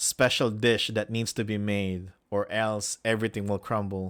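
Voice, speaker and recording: On a very clean recording with a silent background, a man with a Filipino accent speaks in a flat, monotone way at fairly low pitch, the sound dry and close with no echo. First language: Filipino language. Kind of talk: reading aloud with commentary. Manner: halting.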